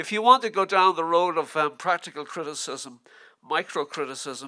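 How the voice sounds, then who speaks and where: Recorded very cleanly with a silent background, a speaker with a Dublin accent talks at a moderate pace in a bright, sharp tone with ordinary pitch variation. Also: man. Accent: Dublin Irish. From Ireland, Dublin. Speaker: literary scholar. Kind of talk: lecture. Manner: halting.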